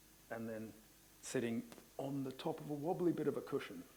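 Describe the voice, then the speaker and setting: A man with an Australian accent speaks at a medium pitch and a fairly quick pace. His pitch varies in an ordinary way, and the room echo is audible. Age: 50s. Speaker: Pilates instructor. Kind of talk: conference presentation. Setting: conference hall with audience.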